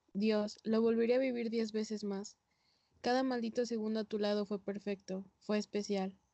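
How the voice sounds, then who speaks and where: Her pitch fairly high and her intonation flat and monotone, a woman keeps a moderate pace. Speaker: poetry reader. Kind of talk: poetry reading. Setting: video call.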